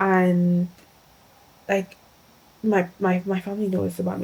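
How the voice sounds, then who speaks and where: A woman's medium-pitched voice, flat and monotone, with a non-native accent. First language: not English. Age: 20s. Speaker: lifestyle vlogger. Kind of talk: casual vlog chat. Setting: at home in her room.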